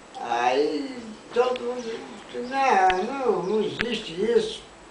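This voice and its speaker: A man speaks at a very slow pace in an extremely high pitch. His intonation is lively, and background noise is noticeable. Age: old. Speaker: grandfather storyteller. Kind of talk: casual telling of a childhood anecdote.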